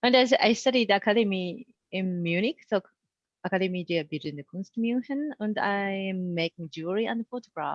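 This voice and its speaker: Speaking with a Japanese accent at a medium pitch and moderate pace, a woman uses lively intonation and big swings in loudness, her sound dry and close with no echo against a quiet background. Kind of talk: casual panel conversation.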